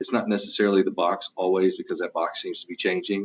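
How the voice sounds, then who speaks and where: A man speaks with a Southeast Texas accent. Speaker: home automation integrator business owner. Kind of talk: interview.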